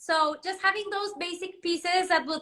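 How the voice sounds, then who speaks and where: Speaking in a raised, projected voice with a Spanish accent, a woman keeps a bright, sharp tone, fairly even intonation and a moderate pace. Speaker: fashion designer. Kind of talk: live interview. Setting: livestream.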